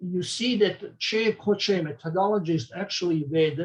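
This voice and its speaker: This man has a high pitch, talks at a moderate pace, and uses lively intonation. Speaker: medical researcher. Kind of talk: conference talk. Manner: halting.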